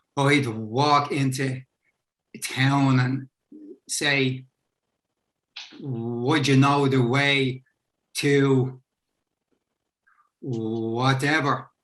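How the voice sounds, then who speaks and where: A man speaks at a very slow pace in a medium pitch, with long, frequent pauses. His intonation is monotone and flat, and his loudness is very even. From Dublin, Ireland. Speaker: author. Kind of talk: panel discussion.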